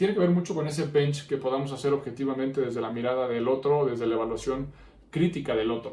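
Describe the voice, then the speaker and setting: A man's fairly high voice at a very fast pace, with ordinary pitch variation, audible room echo and noticeable background noise. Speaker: podcast host, psychologist. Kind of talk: podcast monologue.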